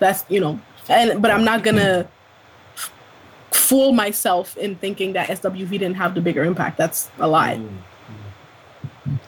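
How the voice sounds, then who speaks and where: A woman at a medium pitch speaks at a fairly slow pace with ordinary pitch variation over noticeable background noise. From Ontario, Canada. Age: 20s. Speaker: podcast co-host. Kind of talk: casual chat.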